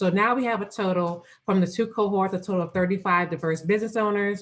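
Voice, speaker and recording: A woman speaks at a very fast pace. Her intonation is fairly even. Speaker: business program manager. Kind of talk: presentation on a video call. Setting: Zoom video call. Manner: halting with fillers.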